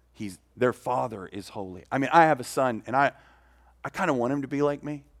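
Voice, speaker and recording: A man with an ordinary speaking voice talks at a fairly quick pace in a medium pitch with ordinary pitch variation, on a very clean recording with a silent background. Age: 50s. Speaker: pastor. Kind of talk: sermon.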